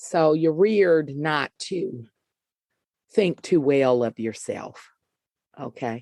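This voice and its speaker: Speaking at a very slow pace with long, frequent pauses, a woman with a strong Southern US accent has a very deep, low pitch, a dark, mellow tone and lively intonation, heard in a dry, close sound with no echo. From US Deep South. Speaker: author and poet. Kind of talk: interview conversation. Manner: code-switches between standard and vernacular.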